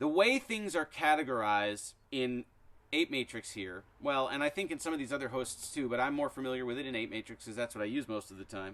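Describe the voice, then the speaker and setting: A man with an ordinary speaking voice, medium pitch and lively intonation talks at a fairly quick pace. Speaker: music app tutorial youtuber. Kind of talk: tutorial. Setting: outdoors. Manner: casual, conversational.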